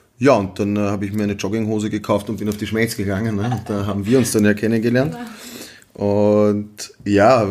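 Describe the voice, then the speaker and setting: A man's fairly low, flat, monotone voice over noticeable background noise. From Vienna, Austria. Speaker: gastronomy entrepreneur. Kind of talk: casual interview chat. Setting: in person at his market stall.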